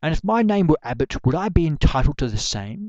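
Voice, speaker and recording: Against a quiet background, a man speaks with very wide swings in pitch. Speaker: poet. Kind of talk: poetry reading. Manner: ranting, impassioned.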